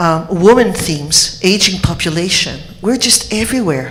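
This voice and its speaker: A woman speaks with a Quebec accent. Noticeable background noise and audible room echo surround her voice. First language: French. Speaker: homeopath. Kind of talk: conference speech.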